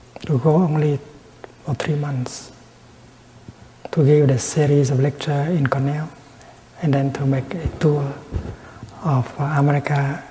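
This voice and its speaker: A soft-spoken man talks in a monotone, flat intonation at a fairly high pitch, with long, frequent pauses. Noticeable background noise can be heard. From Vietnam. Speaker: Buddhist monk and peace activist. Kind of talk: Dharma talk, meditation teaching. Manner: soft-spoken, slow.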